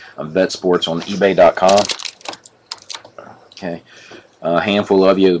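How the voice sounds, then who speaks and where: A man's flat, monotone delivery is heard against noticeable background noise. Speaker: sports card breaker, online seller. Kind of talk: live stream card break. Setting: live stream.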